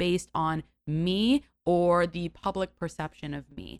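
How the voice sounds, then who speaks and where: A woman with an American accent has an unremarkable speaking voice at a fairly low pitch. Her intonation stays fairly even, and the sound is dry and close with no echo. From New York City, Greenwich Village. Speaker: actress and content creator. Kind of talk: casual chat.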